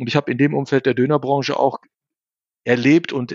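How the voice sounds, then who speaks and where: A normal speaking voice from a man, fairly high in pitch and at a fairly quick pace. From Germany, bicultural Turkish family. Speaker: investor and author. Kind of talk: interview.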